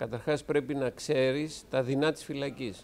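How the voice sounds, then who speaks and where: In a very clean recording with a silent background, a man with a fairly high pitch talks at a fairly slow pace. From Greece (Piraeus). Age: 60s. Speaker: school director and theology teacher. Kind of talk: interview talk. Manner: halting with fillers.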